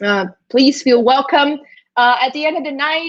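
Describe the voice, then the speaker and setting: A woman in a slight Brazilian accent, high-pitched and fairly slow. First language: Brazilian Portuguese. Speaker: esports commentator. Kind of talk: live commentary. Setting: live stream. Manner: halting, many fillers.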